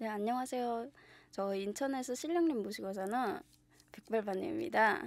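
At a fairly high pitch, a woman speaks with lively intonation and a moderate pace. The sound is dry with no echo. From North Korea (Yanggang Province). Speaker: shaman/fortune teller. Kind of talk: interview. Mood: cheerful, smiling. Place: studio. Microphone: studio mic.

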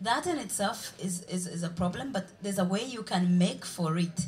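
A woman with a Ugandan accent, fairly low-pitched and somewhat breathy, at a moderate pace with ordinary pitch variation. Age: young. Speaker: journalist and blogger. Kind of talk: panel debate. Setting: stage with audience. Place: stage. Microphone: handheld.

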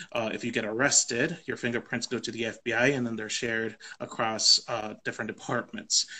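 A man with an American accent has a bright, sharp tone and monotone, flat intonation. He keeps a moderate pace with hardly any pauses. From US South, Texas Rio Grande Valley; Texas. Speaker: immigrant rights policy advocate. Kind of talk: know-your-rights explainer in a live conversation. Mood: calm, informative. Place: home room. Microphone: video call.

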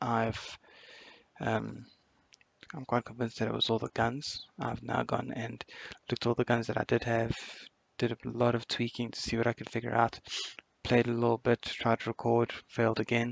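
Speaking in a monotone, flat way at medium pitch, a man keeps a moderate pace broken by long, frequent pauses, the sound dry with no echo. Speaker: gaming youtuber. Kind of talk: let's play commentary. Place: home room. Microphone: headset.

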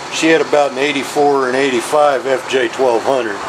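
Against noticeable background noise, a man with a Southern US accent speaks in a fairly high pitch with fairly even intonation. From US South. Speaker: motorcycle mechanic. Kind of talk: tutorial. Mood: gruff, profane, folksy. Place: workshop.

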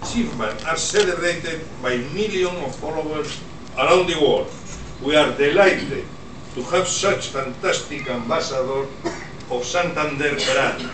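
A man keeps a moderate pace and ordinary pitch variation while noticeable background noise carries on behind him. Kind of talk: formal speech. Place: hall.

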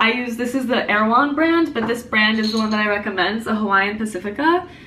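At a fairly quick pace, a woman talks with ordinary pitch variation over light background noise. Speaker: dietitian vlogger. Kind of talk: casual tutorial vlog chat. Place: kitchen. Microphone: phone near.

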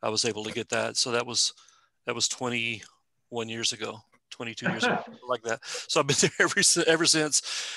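In a West Texas accent, a man speaks at a medium pitch with ordinary pitch variation and a bright, sharp tone, the sound dry and close with no echo. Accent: West Texas-style Southwestern US drawl. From eastern New Mexico. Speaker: museum staff presenter. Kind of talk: informal presentation with Q&A. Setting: video call.

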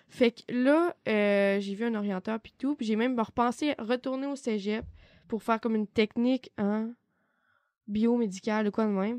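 At a moderate pace and with big swings in loudness, the speaker talks in a Quebec accent, the sound dry and close with no echo on a very clean recording with a silent background. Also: woman, fairly high pitch for a woman, ordinary pitch variation. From Quebec, Côte-Nord (Baie-Comeau). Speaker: student. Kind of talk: casual chat.

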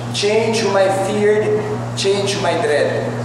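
High male voice with very wide pitch swings, strong room echo, and noticeable background noise. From Philippines. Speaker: spoken word performer. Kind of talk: spoken word poetry performance. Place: hall. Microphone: pa.

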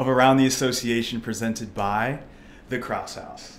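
Upbeat in tone, a man speaks at a moderate pace with an American accent. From US Midwest, St. Louis area. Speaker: podcast host. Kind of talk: casual interview. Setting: studio, in person. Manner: upbeat, filler-heavy. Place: studio. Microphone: studio mic.

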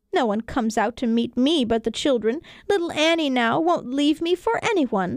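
A woman's put-on character voice with a dry, close sound and no echo. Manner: scolding, then softening.

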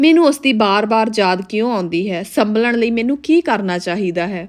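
A woman speaks in a plain, everyday voice, fairly high in pitch, with lively intonation. The recording is very clean, with a silent background. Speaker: narrator reading a book. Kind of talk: reading aloud.

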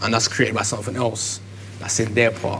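A man with a London accent has a fairly low pitch. Light background noise can be heard. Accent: London, Multicultural London English. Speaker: rapper; interviewee. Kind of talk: documentary interview. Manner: halting.

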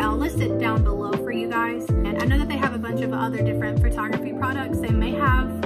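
Loud music sits behind a woman who speaks at a fairly quick pace. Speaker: beginner hobby vlogger. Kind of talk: casual talk to camera. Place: home room. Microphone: phone near.

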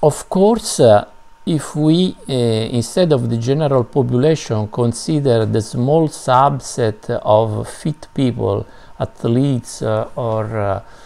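In a non-native accent, a man speaks very slowly at a medium pitch with ordinary pitch variation. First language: not English. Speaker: health and fitness video host. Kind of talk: educational explainer. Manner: hesitant, many filler sounds. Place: home room. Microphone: webcam.

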